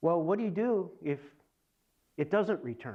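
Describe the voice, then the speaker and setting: This man has a normal speaking voice. He talks at a moderate pace with lively intonation. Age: 60s. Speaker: engineering manager, cancer survivor. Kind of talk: testimony.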